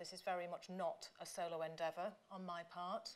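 In an English accent, a woman talks at a moderate pace. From England. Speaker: professor. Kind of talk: lecture. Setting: stage with audience. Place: hall. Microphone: podium.

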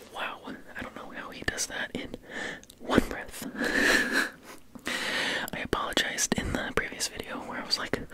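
A man at a moderate pace with long, frequent pauses, over loud background noise. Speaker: ASMR creator. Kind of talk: ASMR trigger words. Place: home room. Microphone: studio mic.

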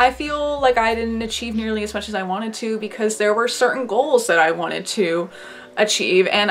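A woman with a fairly high pitch is speaking. She goes at a moderate pace. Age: 20s. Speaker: YouTuber and artist; YouTuber. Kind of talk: casual vlog monologue. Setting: bedroom at home, filming to camera. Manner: frequent laughter. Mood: reflective, warm, sometimes playful. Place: home room. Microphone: webcam.

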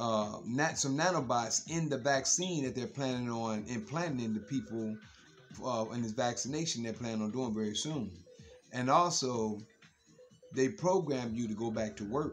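A man talks at a moderate speed while faint music plays behind him. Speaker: social media commentator. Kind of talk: casual vlog monologue. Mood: earnest, warning tone. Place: home room. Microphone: phone near.

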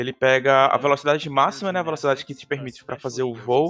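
His voice is fairly high for a man. The speaker is male. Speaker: speedrun commentator. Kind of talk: live commentary. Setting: live stream. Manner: animated.

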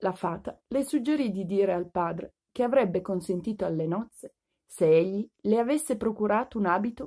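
A woman speaks with lively intonation and a warm, gentle, dark, mellow tone. The background is quiet. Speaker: audiobook reader. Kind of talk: fairy-tale audiobook reading aloud to children. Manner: warm, gentle storyteller's pace, clear and expressive; formal literary diction with a friendly children's greeting. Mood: warm, expressive narration. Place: home room. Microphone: phone near.

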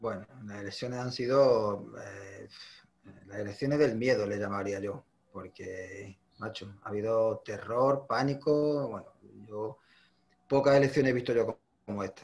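A somewhat breathy voice moves at a fairly slow pace with big swings in loudness. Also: man, medium pitch for a man, ordinary pitch variation. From Ceuta. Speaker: union workplace delegate; interviewee. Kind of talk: interview. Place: home room. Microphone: video call.

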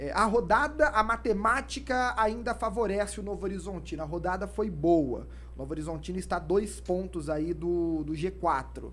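This man speaks at a moderate pace with hardly any pauses. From Brazil, interior São Paulo. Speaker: sports podcast host. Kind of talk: casual sports chat. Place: studio. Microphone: studio mic.

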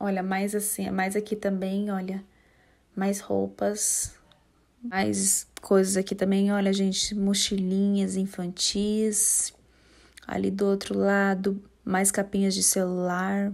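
A woman speaks at a very slow pace and medium pitch. Her intonation stays monotone and flat. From São José dos Campos, São Paulo state, Brazil. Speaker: YouTuber / vlogger. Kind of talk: vlog tour narration. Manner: casual, chatty.

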